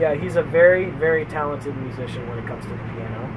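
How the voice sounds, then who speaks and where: A man speaks against noticeable background noise. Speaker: podcast co-host. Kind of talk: casual chat. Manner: many filler sounds.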